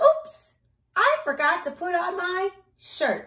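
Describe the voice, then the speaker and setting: In a put-on character voice, a woman speaks at a very slow pace, squeaky and extremely high-pitched, with very wide pitch swings. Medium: read story. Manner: excited, playful.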